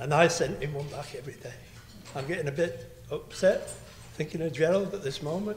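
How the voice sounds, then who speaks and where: A man speaks at a fairly high pitch, with audible room echo around his voice. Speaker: friend of the ship's crew. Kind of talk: speech. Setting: banquet hall with audience.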